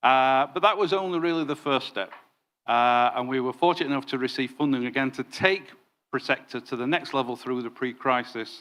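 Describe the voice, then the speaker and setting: Bright and sharp in tone, a man with a Yorkshire accent speaks at a fairly quick pace. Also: medium pitch for a man, ordinary pitch variation, very clean recording, silent background. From northern England, Yorkshire. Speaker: former counterterrorism detective, consultancy director. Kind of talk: conference presentation. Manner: hesitant fillers.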